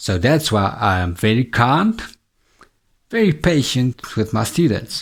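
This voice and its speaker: A somewhat breathy man with a medium pitch speaks at a fairly slow pace. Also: lively intonation. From South Africa. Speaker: English teacher. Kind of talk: tutor self-introduction to camera. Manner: friendly, upbeat.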